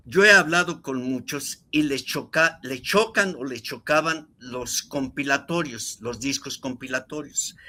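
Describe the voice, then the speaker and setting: This very clean recording with a silent background carries a bright, sharp voice moving at a fairly slow pace with hardly any pauses and ordinary pitch variation. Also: man, fairly high pitch for a man. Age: 70s. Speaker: record collector. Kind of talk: casual chat.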